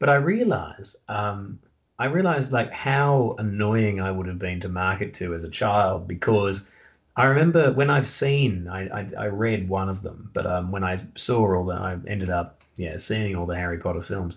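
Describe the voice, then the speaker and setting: With an Australian accent, a man talks at a moderate pace and a fairly low pitch, his pitch variation ordinary. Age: 30s. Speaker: author and comedian. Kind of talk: casual chat.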